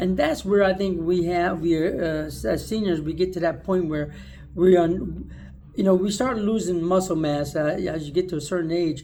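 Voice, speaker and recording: The tone is dark and mellow, with ordinary pitch variation. Room echo is audible. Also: man. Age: 60s. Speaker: video blogger. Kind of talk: casual monologue. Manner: casual, conversational.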